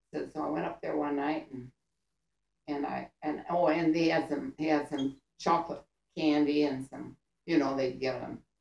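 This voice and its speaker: With vocal fry and a very deep, low pitch, a woman speaks in a monotone, flat intonation at a moderate pace, with audible room echo. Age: 80s+. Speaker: grandmother telling war stories. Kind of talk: storytelling to family. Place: home room. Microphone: camera far.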